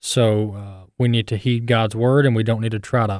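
In an American accent, a man speaks in an unremarkable speaking voice at a medium pitch and a moderate pace, with fairly even intonation, on a very clean recording with a silent background. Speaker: radio host. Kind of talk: radio commentary.

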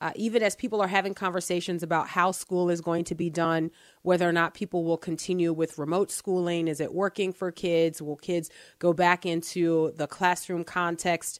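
In a dry, close recording with no echo, a woman with an American accent talks at a moderate pace and a fairly low pitch. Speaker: radio talk show co-host. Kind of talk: call-in talk radio discussion. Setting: radio studio. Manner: animated.

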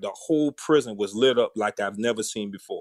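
A man in a Southern US accent, dry and close with no echo. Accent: Southern US (Georgia). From US South, Savannah, Georgia. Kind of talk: interview testimony.

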